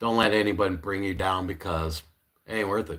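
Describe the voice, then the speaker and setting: On a very clean recording with a silent background, a man talks at a fairly quick pace. His pitch is fairly low, with ordinary variation. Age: 40s. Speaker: live streamer. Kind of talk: casual live stream chat. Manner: casual, halting with fillers.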